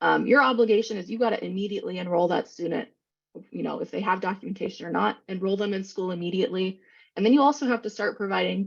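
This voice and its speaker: Over a quiet background, a woman talks at a very fast pace with medium pitch, ordinary pitch variation, and vocal fry. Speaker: presenter on special education law. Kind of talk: webinar presentation.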